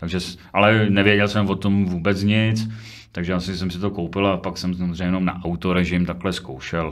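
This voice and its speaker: A man talks at a fairly quick pace with a very deep, low pitch. His intonation is monotone and flat over a quiet background. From Czechia, Třinec (Silesia); Czechia. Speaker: football photographer and prison guard. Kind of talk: casual interview chat. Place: studio. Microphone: studio mic.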